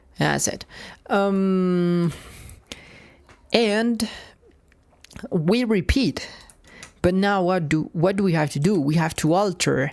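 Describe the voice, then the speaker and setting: A woman with a non-native accent speaks at a very slow pace with a fairly low pitch and lively intonation, on a very clean recording with a silent background. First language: not English. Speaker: software developer streaming coding. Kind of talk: live coding stream. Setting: live stream. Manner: halting, many repetitions and fillers.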